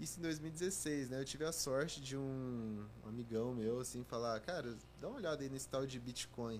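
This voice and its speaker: There is audible room echo as a man speaks at a moderate pace and medium pitch with ordinary pitch variation. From Brazil, Goiânia (Goiás). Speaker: cryptocurrency analyst and content creator. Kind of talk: casual interview chat.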